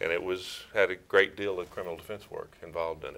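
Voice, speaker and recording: This man has a bright, sharp tone. He speaks with an East Texas accent. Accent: East Texas Southern US. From East Texas, Crockett. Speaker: prosecutor and former judge. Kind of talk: interview.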